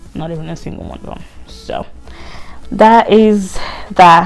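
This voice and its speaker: A woman with a non-native accent and ordinary pitch variation, music in the background. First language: not English. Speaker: lifestyle vlogger. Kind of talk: casual vlog talk.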